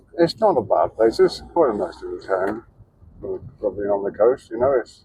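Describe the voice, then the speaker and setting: Mumbling, a man lets his pitch swing very widely. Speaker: travel vlogger. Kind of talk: casual vlog monologue. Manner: halting.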